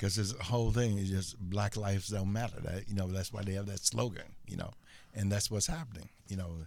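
Here is a man with a plain, everyday voice and an American accent. His fairly low pitch varies in an ordinary way at a fairly quick pace. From US Midwest, Chicago. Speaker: author. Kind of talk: interview.

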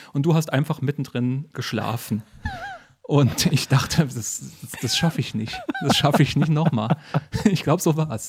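A man with a fairly high pitch speaks at a moderate pace, leaving long, frequent pauses. Noticeable background noise runs underneath. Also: ordinary pitch variation. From northern Hesse, Germany. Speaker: podcast host and comedian. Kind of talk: casual chat. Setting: living room at night.

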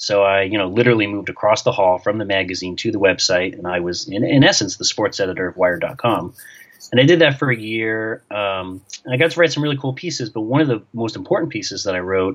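In an American accent, this plain, everyday voice moves at a fairly quick pace with lively intonation. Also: man. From New York. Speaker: sports journalist and author. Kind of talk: interview.

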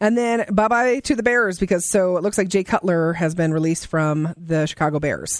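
With an American accent and an animated tone, a woman of medium pitch speaks at a moderate pace with hardly any pauses, very even loudness and ordinary pitch variation. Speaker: radio co-host. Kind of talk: radio DJ patter: lively co-host banter and celebrity gossip. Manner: animated, excitable, conversational.

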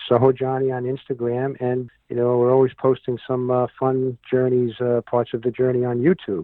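A man with a New York accent talks at a moderate pace in a monotone, flat delivery with hardly any pauses. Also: medium pitch for a man. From New York City (Manhattan, Bronx). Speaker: entertainment producer and show host. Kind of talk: casual interview. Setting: radio interview.

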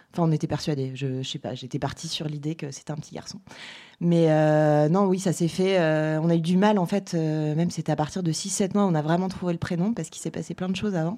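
Talking at a fairly quick pace, a woman has a dark, mellow tone and ordinary pitch variation, on a very clean recording with a silent background. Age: 40s. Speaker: mother. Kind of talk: casual interview.

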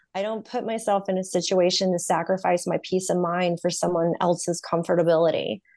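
Fairly even in intonation, this is a normal speaking voice with an American accent. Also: woman, fairly low pitch for a woman. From US South, North Carolina. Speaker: podcast host and therapy student. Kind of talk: interview.

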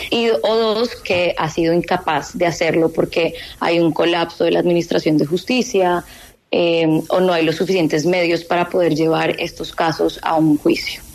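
Speaking at a moderate pace, a woman keeps a fairly low pitch, fairly even intonation and very even loudness. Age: 30s. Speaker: law graduate student. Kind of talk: radio interview. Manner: hesitant, with fillers.

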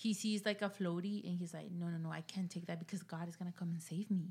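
A woman speaks at a fairly quick pace in a Mexican accent, her somewhat breathy voice set at a fairly low pitch with fairly even intonation. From Mexico. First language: Spanish. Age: 20s. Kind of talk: casual chat. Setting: studio.

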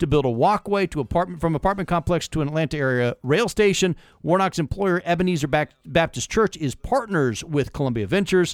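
Barely pausing, a man with a high voice talks very fast with lively intonation, in a dry, close sound with no echo. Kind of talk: heated political banter. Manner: rapid-fire, sarcastic, interrupting.

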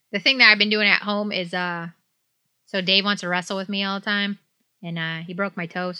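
With a Midwestern US accent, a woman of medium pitch speaks at a fairly quick pace and with fairly even intonation. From southeast Michigan, Detroit area. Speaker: podcast co-host. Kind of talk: casual chat.

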